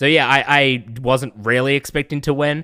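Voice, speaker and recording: A man speaks with a New Zealand accent in a bright, sharp tone. The very clean recording has a silent background and a dry, close sound with no echo. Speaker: streamer. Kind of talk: casual chat.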